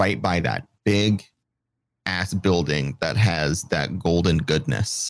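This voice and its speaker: A man with a very deep, low pitch and vocal fry speaks at a very slow pace, his intonation lively. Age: 30s. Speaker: streamer and podcaster. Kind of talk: casual chat.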